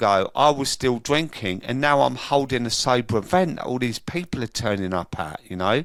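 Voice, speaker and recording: A man speaks with a London accent. His intonation is lively. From London, England. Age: 50s. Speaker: sober coach and recovery event organiser. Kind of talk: interview, personal testimony.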